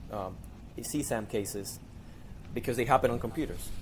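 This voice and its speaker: A medium-pitched male voice in a Spanish accent, with vocal fry and ordinary pitch variation. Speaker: digital forensics investigator. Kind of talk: podcast interview. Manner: hesitant, repeats words.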